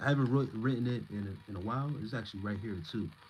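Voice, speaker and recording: A man's speech, fairly quick and with ordinary pitch variation, carries over noticeable background noise. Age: 30s. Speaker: spiritual content creator. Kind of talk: live stream chat reading comments. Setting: live stream. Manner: stumbling over words.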